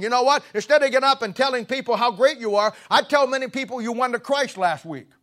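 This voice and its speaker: A man in a raised, projected voice talks very fast at an extremely high pitch with ordinary pitch variation and a bright, sharp tone, in a dry, close sound with no echo. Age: 70s. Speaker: pastor. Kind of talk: sermon. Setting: church. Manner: halting.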